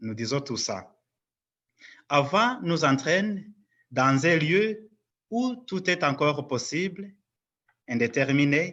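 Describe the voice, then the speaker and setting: This man talks at a very slow pace with a fairly high pitch. His intonation is lively. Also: quiet background. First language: not French (speaking French). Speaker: lecturer at a parish conference. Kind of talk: lecture.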